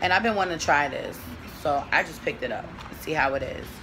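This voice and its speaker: Music plays in the background as a woman speaks in a fairly low voice. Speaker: beauty vlogger. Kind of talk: casual vlog chat. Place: home room. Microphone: phone near.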